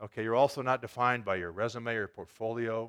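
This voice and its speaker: Against a quiet background, a man talks in a normal speaking voice at medium pitch and a fairly quick pace. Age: 60s. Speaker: pastor. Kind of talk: sermon. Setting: church.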